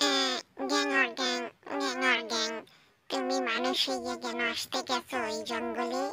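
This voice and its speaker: A croaky, cartoonish character voice moves along at a moderate pace. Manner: croaking refrain "gyang or gyang".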